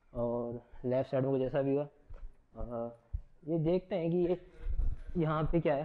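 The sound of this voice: A man talks at a medium pitch and a fairly slow pace, with little pitch movement.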